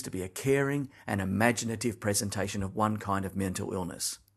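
With an Australian accent, a man speaks at a fairly quick pace and a fairly low pitch with ordinary variation, over a quiet background. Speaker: listener leaving an audio message. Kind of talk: recorded voice message.

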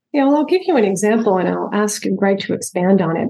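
A woman's medium-pitched, somewhat breathy voice with an American accent, at a fairly quick pace. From upstate New York. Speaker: structural engineer. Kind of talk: interview.

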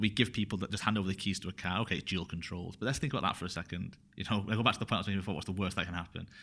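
A man speaks with a Mancunian accent in a fairly low pitch and a bright, sharp tone. The recording is very clean, with a silent background. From northern England, Bury near Manchester. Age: 30s. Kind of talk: podcast interview. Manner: halting, many fillers.

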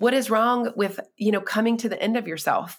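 Speaking in an American accent, a woman has a high pitch and a moderate pace. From North Carolina, US South. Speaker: writer and speaker. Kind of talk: interview conversation.

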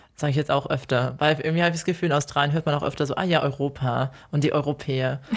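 Hardly pausing, the speaker goes at a very fast pace in a very clean recording with a silent background. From Germany. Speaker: podcast co-host. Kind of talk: casual chat.

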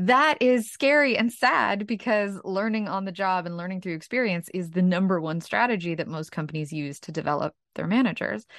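A woman with a normal speaking voice and medium pitch talks at a fairly quick pace with hardly any pauses. Her intonation is lively, and the background is quiet. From Ukraine, raised in Brooklyn, New York. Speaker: author and leadership trainer. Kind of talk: interview.

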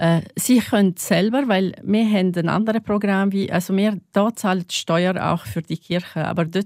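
A woman with an Arabic accent at a fairly slow pace, dry and close with no echo, on a very clean recording with a silent background. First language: Arabic (speaking German). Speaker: religion teacher. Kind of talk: interview. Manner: halting.

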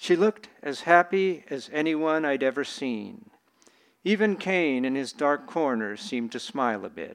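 A man with a plain, everyday voice and a fairly high pitch talks at a moderate pace with lively intonation. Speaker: author reading his story. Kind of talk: reading aloud. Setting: bookstore reading with audience.

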